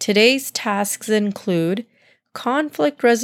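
An unforced reading voice with lively intonation, over a quiet background.

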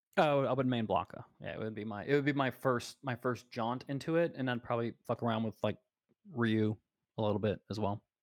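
Dry and close with no echo, a man speaks in a plain, everyday voice with an American accent, at medium pitch, at a fairly quick pace, and with ordinary pitch variation. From US Gulf Coast. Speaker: podcast co-host. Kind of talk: casual chat.

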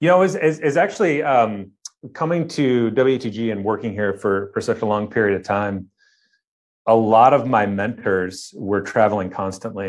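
Here a man speaks with a Midwestern American accent at a moderate pace. His pitch is fairly low. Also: quiet background. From Ohio, near Cleveland. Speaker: architect. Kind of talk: interview. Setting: remote interview from studio.

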